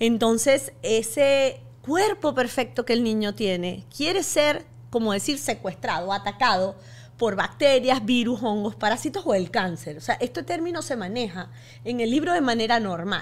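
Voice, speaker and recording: Here a woman speaks at a fairly high pitch with vocal fry. Her pace is fairly slow, and her pitch swings very widely. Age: 50s. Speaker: physician and author; podcast guest. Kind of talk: interview. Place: studio. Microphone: studio mic.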